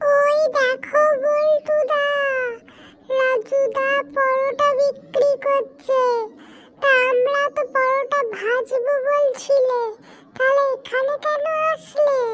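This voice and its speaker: A woman does a cartoonish character voice at an extremely high pitch. The intonation is monotone and flat, and the pace is very slow. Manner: eager, chatty.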